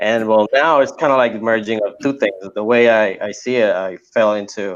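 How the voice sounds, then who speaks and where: A man with a medium-pitched voice talks over a quiet background. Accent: Spanish. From Puerto Rico. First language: Spanish. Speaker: apparel illustrator and course creator. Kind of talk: podcast interview. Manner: casual, repetitive with fillers.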